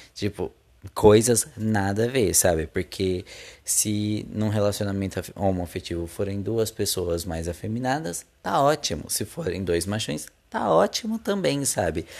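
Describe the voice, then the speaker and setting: In a very clean recording with a silent background, a man with a Brazilian accent talks at a fairly slow pace in a fairly low pitch with ordinary pitch variation. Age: 20s. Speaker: podcast host. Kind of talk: casual solo monologue.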